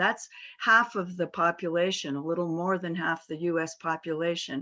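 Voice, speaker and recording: Over a quiet background, an unremarkable speaking voice with an American accent moves at a moderate pace. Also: woman. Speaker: corporate board director. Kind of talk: panel talk.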